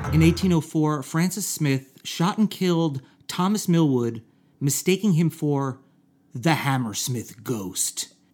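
A man's plain, everyday voice, fairly high in pitch, with lively intonation at a fairly slow pace. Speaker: podcast co-host. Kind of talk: comedic banter.

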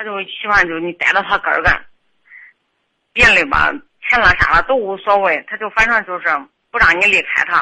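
Speaking at a fairly quick pace yet pausing long and often, a woman uses a medium pitch with ordinary variation. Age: 30s. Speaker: caller seeking marriage advice. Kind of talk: phone-in advice call. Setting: phone call. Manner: halting. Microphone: volume fluctuates, sometimes too quiet.

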